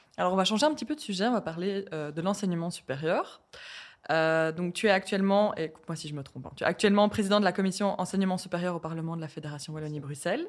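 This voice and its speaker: Very fast speech comes from a woman. The recording is very clean, with a silent background. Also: fairly low pitch for a woman, ordinary pitch variation. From Belgium, Hainaut. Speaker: student interviewer. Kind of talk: interview.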